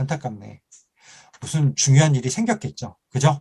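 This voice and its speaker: This is a man speaking. He keeps a moderate pace. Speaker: lecturer. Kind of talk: online lecture. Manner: animated.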